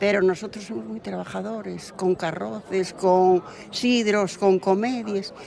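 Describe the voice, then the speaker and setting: Noticeable background noise sits behind a woman's voice. She speaks at a fairly slow pace with lively intonation. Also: medium pitch for a woman, big swings in loudness. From Asturias, Valdesoto. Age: 80s+. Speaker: local villager. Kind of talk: street interview.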